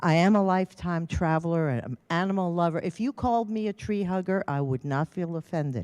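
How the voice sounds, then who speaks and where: A woman's fairly low, lively voice in an American accent, with hardly any pauses and a dry, close sound without echo. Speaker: retired volunteer speaker. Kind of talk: public talk. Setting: public meeting with audience and microphone. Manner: loud.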